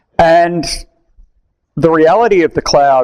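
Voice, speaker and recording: A man with an Australian accent. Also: quiet background. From Australia, Melbourne. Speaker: tech conference speaker; conference speaker. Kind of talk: technical talk. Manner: casual, conversational. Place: meeting room.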